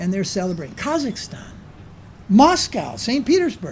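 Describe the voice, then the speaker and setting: A man's voice with audible room echo. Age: 70s. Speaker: spiritual teacher. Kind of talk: lecture. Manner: conversational, with filler sounds.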